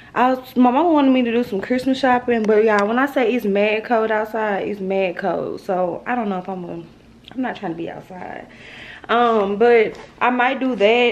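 Her pace moderate, a woman talks with ordinary pitch variation. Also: fairly high pitch for a woman. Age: 20s. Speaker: vlogger. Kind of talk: casual vlog talk to camera. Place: kitchen. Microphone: phone near.

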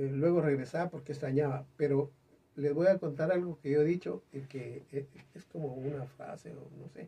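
With big swings in loudness, a man talks in a fairly high, somewhat breathy voice of dark, mellow tone and ordinary pitch variation. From Guatemala. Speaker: singer; interview guest. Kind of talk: interview chat. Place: studio.

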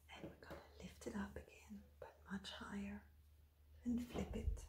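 A soft-spoken woman whispering at a fairly slow pace, with big swings in loudness and noticeable background noise. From France. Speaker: ASMR content creator. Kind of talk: ASMR folding tutorial. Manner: soft whisper, softly spoken.

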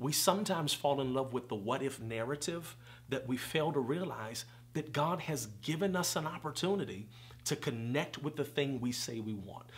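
A man talks at a moderate pace in an animated tone, with ordinary pitch variation. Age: 30s. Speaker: preacher and conference founder. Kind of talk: casual interview. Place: home room.

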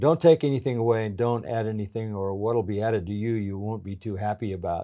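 A man speaks at a fairly quick pace with a dark, mellow tone. The background is quiet. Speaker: pastor being interviewed. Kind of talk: interview answer. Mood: earnest, calm conviction. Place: home room. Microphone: lapel.

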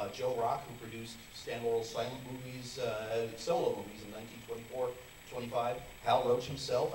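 A man talks against light background noise with audible room echo. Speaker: author and radio host. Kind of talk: interview before a live audience. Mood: enthusiastic, friendly. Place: hall. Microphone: handheld.

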